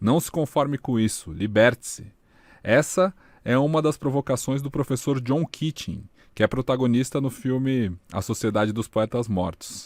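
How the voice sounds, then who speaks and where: A man with an unremarkable speaking voice talks at a moderate pace with medium pitch and ordinary pitch variation. The very clean recording has a silent background and a dry, close sound with no echo. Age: 30s. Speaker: podcast host, digital media specialist. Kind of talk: podcast intro, scripted narration.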